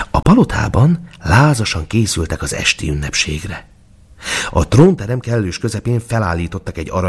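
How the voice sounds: Reading done in a natural voice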